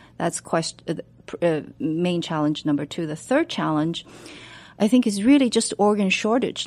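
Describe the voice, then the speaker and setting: In a very clean recording with a silent background, a woman with a Chinese accent speaks in a fairly low pitch with lively intonation. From China. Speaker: medical researcher. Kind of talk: radio interview. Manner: halting, many fillers.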